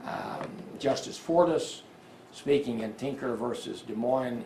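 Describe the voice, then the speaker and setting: Amid noticeable background noise and audible room echo, a man with an American accent talks at medium pitch with ordinary pitch variation. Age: 70s. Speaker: attorney. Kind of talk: press conference.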